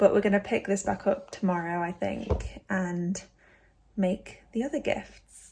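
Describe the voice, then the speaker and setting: A woman's dark, mellow voice with a British accent, vocal fry and ordinary pitch variation. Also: medium pitch for a woman, fairly slow pace, very clean recording, silent background. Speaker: crochet vlogger. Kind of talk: casual vlog tutorial. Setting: in bed at home.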